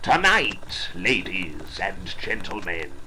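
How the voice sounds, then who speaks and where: A man puts on a theatrical character voice and speaks at a very slow pace over loud background noise. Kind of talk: melodramatic Victorian stage showmanship. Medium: stage play. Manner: grandiloquent, theatrical.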